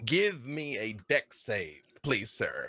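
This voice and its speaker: A man uses a put-on character voice. It is squeaky and fairly high in pitch. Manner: squealing, playful.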